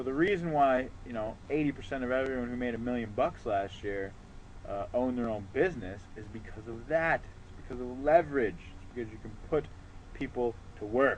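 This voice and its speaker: Using a normal speaking voice of medium pitch, a man talks at a fairly quick pace with ordinary pitch variation and big swings in loudness. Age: 20s. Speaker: online marketing entrepreneur. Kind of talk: motivational talk to camera. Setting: outdoors on a porch. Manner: casual, filler-heavy.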